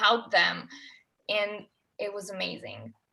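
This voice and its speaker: A woman speaks in an Italian accent with a bright, sharp tone and fairly high pitch. She talks at a fairly slow pace. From Italy. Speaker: former au pair. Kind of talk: casual chat.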